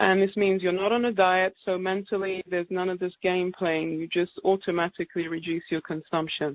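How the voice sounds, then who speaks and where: With an English accent, a woman speaks at a fairly quick pace with hardly any pauses. Her medium-pitched voice stays monotone and flat. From England. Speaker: naturopathic doctor. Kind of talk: presentation on conference call.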